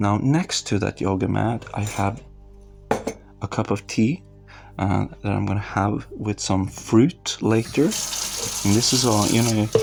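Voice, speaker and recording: A man with a non-native accent, fairly low in pitch with ordinary pitch variation, at a very slow pace over music in the background. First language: not English. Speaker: meditation practitioner / content creator. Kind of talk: casual walkthrough narration. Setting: home, evening. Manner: calm; halting.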